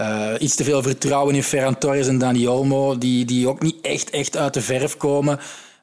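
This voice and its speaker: Speaking with a Flemish accent, a man keeps his loudness very even and his intonation monotone and flat. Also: medium pitch for a man, moderate pace, hardly any pauses. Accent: Flemish Dutch. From Flanders, Belgium. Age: 30s. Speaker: football podcast host and sports journalist. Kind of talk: casual chat.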